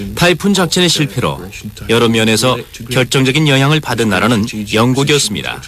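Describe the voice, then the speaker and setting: Over music in the background, a man at a medium pitch speaks at a fairly quick pace with lively intonation and very even loudness. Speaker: voice actor dubbing a historian interviewee. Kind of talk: interview answer. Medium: dub.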